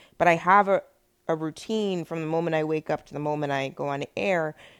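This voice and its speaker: A plain, everyday voice from a woman, fairly low in pitch, at a fairly quick pace with fairly even intonation, in a very clean recording with a silent background. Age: 40s. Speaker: radio host. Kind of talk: interview.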